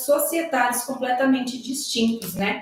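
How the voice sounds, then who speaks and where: Against noticeable background noise, a woman speaks in a high pitch with ordinary pitch variation. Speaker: social worker. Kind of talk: panel talk. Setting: live stream.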